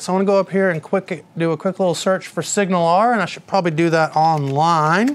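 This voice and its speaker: Speaking very fast with an American accent, a man uses a high pitch and ordinary pitch variation. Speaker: software developer presenter. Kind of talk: live technical tutorial. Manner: casual, many fillers.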